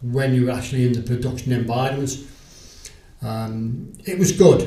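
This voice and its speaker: Spoken at a moderate pace with a Liverpool accent and fairly even intonation, the voice carries audible room echo and noticeable background noise. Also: man. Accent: Liverpool (Scouse). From Liverpool, England. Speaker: retired sales agent. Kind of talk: interview.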